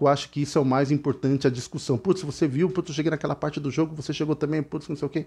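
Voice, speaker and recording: A man speaks with a fairly high pitch. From Brazil. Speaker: gaming youtuber. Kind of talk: casual explainer video; casual vlog chat. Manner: halting, filler-heavy. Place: home room. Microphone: headset.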